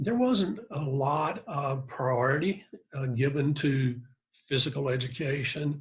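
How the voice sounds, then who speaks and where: A somewhat breathy male voice, fairly high in pitch with ordinary variation, at a fairly slow pace. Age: 70s. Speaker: fitness researcher. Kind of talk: interview. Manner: halting.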